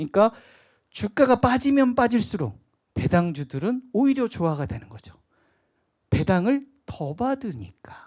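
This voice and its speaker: In a slight Jeolla accent, a man speaks at a high pitch with very wide pitch swings, a fairly slow pace and long, frequent pauses, on a very clean recording with a silent background. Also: big swings in loudness. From Jeolla Province, Korea. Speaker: stock investment lecturer. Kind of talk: lecture.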